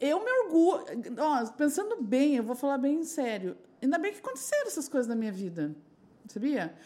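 A woman speaks in a high, dark and mellow voice with very wide pitch swings, at a moderate pace broken by long, frequent pauses. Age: 40s. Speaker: sex shop entrepreneur and sex educator. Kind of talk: casual chat.

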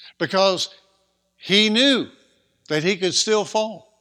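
A man's high, bright and sharp voice, raised and projected, at a very slow pace. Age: 60s. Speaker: preacher. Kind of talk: sermon.

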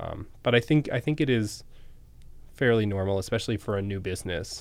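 On a very clean recording with a silent background, a man with an American accent talks at a very fast pace and a fairly low pitch. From Massachusetts, near Boston. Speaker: restaurant owner. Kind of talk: interview.

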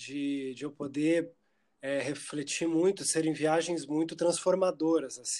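In a plain, everyday voice, a man talks at a fairly slow pace with fairly high pitch and fairly even intonation, on a very clean recording with a silent background. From Curitiba, southern Brazil. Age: 30s. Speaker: musician and theatre performer. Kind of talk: casual interview chat.

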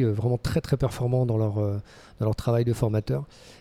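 A man speaks at a medium pitch and moderate pace, with fairly even intonation and a dark, mellow tone. The recording is very clean with a silent background, and the sound is dry and close with no echo. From Brittany, France (Lorient). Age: 50s. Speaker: fitness school founder. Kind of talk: interview. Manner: halting, repeats words.

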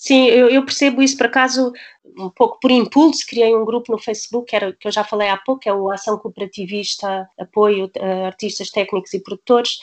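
A woman's normal speaking voice, fairly high in pitch with ordinary pitch variation, at a fairly quick pace, in a dry, close recording with no echo. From Portugal. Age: 50s. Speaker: dancer and choreographer. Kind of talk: casual chat.

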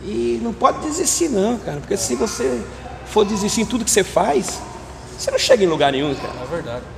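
A man's high voice with very wide pitch swings at a fairly quick pace, amid noticeable background noise and audible room echo. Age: 60s. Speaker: street chocolate vendor. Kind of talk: casual interview. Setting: outdoors.

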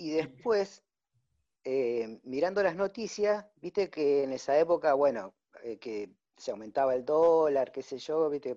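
A man speaks at a fairly slow pace with lively intonation. His voice is fairly high in pitch, with a dark, mellow tone. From Tucumán, Argentina. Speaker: small investor. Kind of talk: casual chat. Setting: video call.

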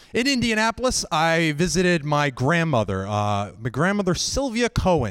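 At a moderate pace, a man with an American accent and a fairly high pitch makes very wide pitch swings on a very clean recording with a silent background. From Northern Virginia. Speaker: solo show performer. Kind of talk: live storytelling. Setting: stage with audience.

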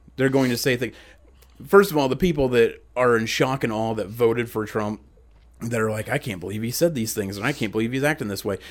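A man's medium-pitched voice, a plain, everyday voice, at a fairly quick pace with ordinary pitch variation, on a very clean recording with a silent background. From central Ohio. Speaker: podcast host. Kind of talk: casual chat.

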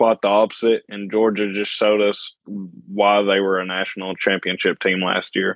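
This man's pitch sits fairly low. His intonation stays monotone and flat. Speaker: sports podcast co-host. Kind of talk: casual chat.

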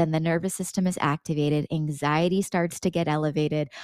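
The recording is very clean and the background silent. A woman talks at a fairly quick pace. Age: 30s. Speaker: business coach and podcast host. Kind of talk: motivational monologue. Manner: animated.

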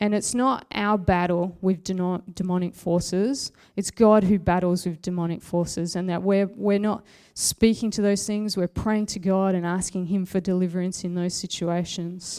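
This woman's voice has a dark, mellow tone at medium pitch, delivered at a moderate pace with monotone, flat intonation. The recording is very clean, with a silent background. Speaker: preacher. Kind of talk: sermon. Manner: plain conversational.

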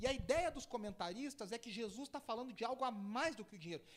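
A man talks at a very fast pace. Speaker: pastor. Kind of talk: sermon.

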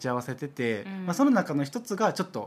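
Speaking very fast in a Kansai accent, a man lets his pitch swing very widely. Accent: Kansai Japanese. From Osaka. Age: 30s. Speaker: podcast co-host. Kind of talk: casual chat.

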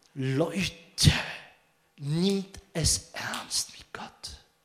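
A man talks with ordinary pitch variation. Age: 50s. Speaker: pastor. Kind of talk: sermon. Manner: halting.

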